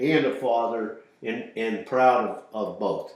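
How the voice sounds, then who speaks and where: This man talks fairly slowly, his voice carrying audible room echo. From southern Colorado. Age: 60s. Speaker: podcast co-host. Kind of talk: casual chat. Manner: halting.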